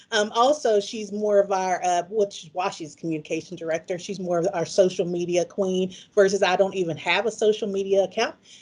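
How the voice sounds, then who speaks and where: A woman with a Southern US accent talks at a fairly quick pace. She leaves hardly any pauses. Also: medium pitch for a woman, ordinary pitch variation. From US South, Mississippi. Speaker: pharmacist and conference presenter. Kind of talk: conference presentation. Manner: casual, conversational.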